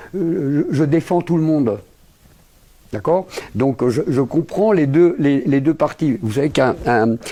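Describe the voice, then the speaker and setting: Speaking at a very slow pace with long, frequent pauses, a man has a fairly high pitch and a dark, mellow tone. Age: 60s. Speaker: lawyer, international law specialist. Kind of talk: interview. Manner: halting, many repetitions and fillers.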